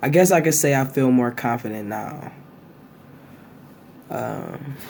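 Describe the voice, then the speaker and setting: Noticeable background noise sits behind a man speaking at medium pitch. He talks fairly slowly with ordinary pitch variation. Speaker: vlogger. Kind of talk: casual chat.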